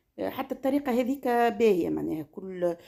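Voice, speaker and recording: A woman talks at a fairly quick pace with a Tunisian accent. Her tone is dark and mellow, her intonation lively. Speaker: cooking and lifestyle vlogger. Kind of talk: casual vlog talk. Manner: halting.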